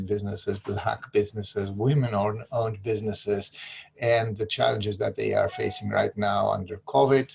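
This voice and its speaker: Fairly low in pitch, a man with a Greek accent speaks with fairly even intonation. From Greece. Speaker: local political candidate. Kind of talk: community forum talk. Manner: halting, many fillers.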